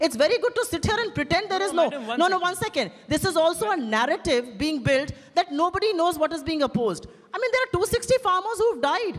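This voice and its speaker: In an animated tone with very wide pitch swings, the speaker races along at a very fast pace against a quiet background. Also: woman, extremely high pitch for a woman. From India. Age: young. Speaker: party spokesperson. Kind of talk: heated debate. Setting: stage with audience. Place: stage. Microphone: handheld.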